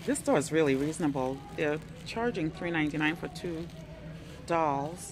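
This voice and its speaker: Clear music plays in the background. A woman talks at a fairly slow pace in a very deep, low pitch. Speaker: thrift shopper vlogger. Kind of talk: casual vlog chat. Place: shop. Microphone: phone near.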